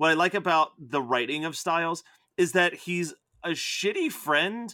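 A man's high-pitched voice with a bright, sharp tone, ordinary pitch variation and a fairly slow pace, on a very clean recording with a silent background. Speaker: podcast host. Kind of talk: casual chat.

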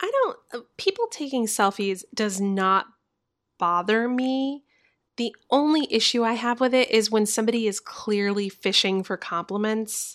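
A woman with an American accent has a normal speaking voice, fairly high in pitch. She talks at a fairly slow pace with ordinary pitch variation. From Florida. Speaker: podcast co-host. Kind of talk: casual chat.

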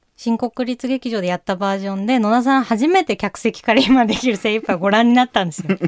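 A woman talks at a very fast pace with hardly any pauses, in a fairly high pitch with ordinary pitch variation. The recording is very clean with a silent background and a dry, close sound with no echo. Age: 30s. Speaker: playwright and director hosting a theatre podcast. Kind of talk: casual interview chat.

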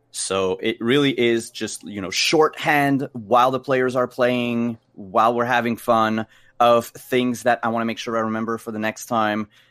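Speaking at a moderate pace with hardly any pauses, a man keeps a medium pitch and fairly even intonation. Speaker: game master and streamer. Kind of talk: casual interview. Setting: live stream video call. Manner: hesitant, many fillers.

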